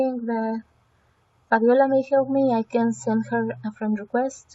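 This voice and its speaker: Speaking in a Spanish accent, a woman uses a fairly high pitch with monotone, flat intonation. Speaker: language education student. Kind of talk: screencast evaluation walkthrough. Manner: halting, with fillers and repetitions.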